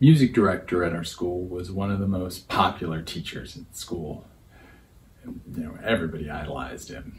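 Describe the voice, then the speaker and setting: Very deep, low-pitched man's voice, somewhat breathy, with ordinary pitch variation, big swings in loudness and a moderate pace, over light background noise. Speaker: storyteller in a performance program. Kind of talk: personal story monologue. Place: home room.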